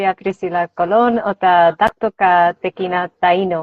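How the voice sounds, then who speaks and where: A woman speaks in a Spanish accent. Her pitch is medium. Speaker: author and language teacher. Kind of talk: interview. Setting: video call.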